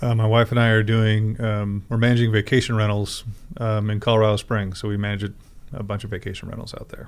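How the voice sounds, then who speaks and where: Delivering his words in a monotone, flat intonation, a man with a fairly low pitch talks at a very fast pace. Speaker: former corrections officer. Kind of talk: interview. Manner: hesitant, many fillers.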